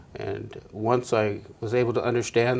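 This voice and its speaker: The speaker is a man. He talks at a medium pitch. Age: 60s. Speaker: peer counseling graduate in recovery, counseling student. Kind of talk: interview testimony. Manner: halting, many fillers.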